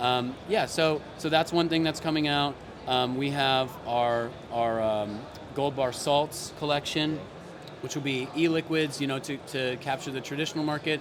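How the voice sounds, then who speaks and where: Against noticeable background noise, a man speaks at a moderate pace with a fairly high pitch and fairly even intonation. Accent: American. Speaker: company CEO. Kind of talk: interview. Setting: trade expo stand. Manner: halting, many fillers.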